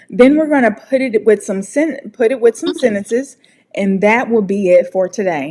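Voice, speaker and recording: The speaker has an American accent and lively intonation. The pace is moderate. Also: woman. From United States. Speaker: English pronunciation teacher. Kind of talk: tutorial. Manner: animated.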